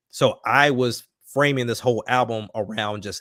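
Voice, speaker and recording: An American accent in a dry, close sound with no echo, very clean recording, silent background. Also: man. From US South, Alabama. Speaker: rapper. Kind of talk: casual chat.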